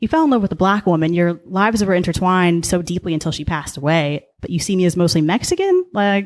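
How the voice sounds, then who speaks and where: A woman speaks with a Californian accent and a fairly low pitch. Her pace is very fast. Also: ordinary pitch variation. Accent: Californian American. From Southern California, Orange County. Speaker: podcast guest. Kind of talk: casual interview chat.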